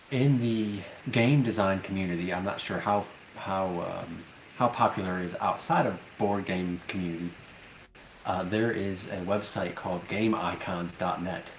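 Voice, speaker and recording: A man's quiet, very deep, low voice with fairly even intonation and audible room echo. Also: moderate pace. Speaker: board game designer. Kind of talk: casual interview. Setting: voice call. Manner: quiet, holding voice down.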